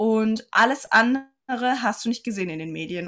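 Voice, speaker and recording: A woman at a moderate pace with ordinary pitch variation and a plain, everyday voice. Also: very clean recording, silent background. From Saarland, Germany. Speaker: physiotherapist and life coach. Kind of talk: casual interview chat.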